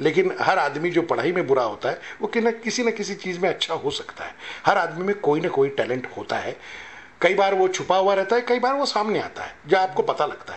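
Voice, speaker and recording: At a moderate pace, a man talks in a high pitch. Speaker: actor. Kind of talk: interview answer. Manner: soft-spoken. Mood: calm, humble, reflective. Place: hall. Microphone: handheld.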